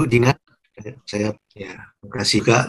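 A somewhat breathy man's voice, fairly slow, with fairly even intonation. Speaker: lecturer asking question. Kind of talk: question in discussion. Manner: halting, rambling. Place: home room. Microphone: video call.

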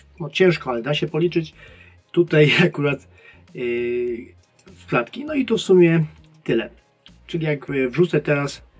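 A man's voice at a moderate pace, with ordinary pitch variation, big swings in loudness, long and frequent pauses, and faint music in the background. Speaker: presenter. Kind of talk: tutorial.

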